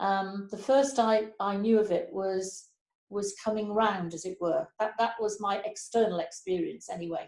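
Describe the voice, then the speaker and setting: At a moderate pace, a woman talks at medium pitch with ordinary pitch variation. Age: 60s. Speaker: Baptist minister. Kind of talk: testimony. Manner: halting, many fillers and repeats.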